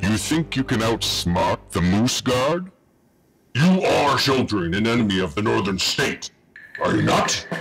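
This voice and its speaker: A man speaks at a medium pitch and a moderate pace. Faint music plays in the background. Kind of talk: comic villain overacting. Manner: menacing, theatrical, then shouting.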